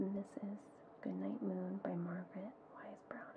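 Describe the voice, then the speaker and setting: Soft-spoken and at a moderate pace, a woman talks over noticeable background noise. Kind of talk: ASMR. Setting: muffled home recording.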